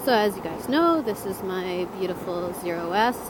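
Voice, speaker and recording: Heard with audible room echo and noticeable background noise, a woman speaks at a moderate pace. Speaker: motorcycle vlogger. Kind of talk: casual vlog while riding. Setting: outdoors on a motorcycle, in helmet. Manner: loud.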